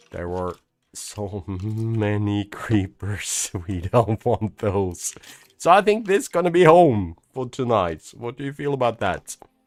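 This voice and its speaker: A man with a Swedish accent talks at a very slow pace. His fairly low voice has lively intonation. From Sweden. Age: 40s. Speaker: gaming YouTuber. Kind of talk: let's play commentary. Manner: animated.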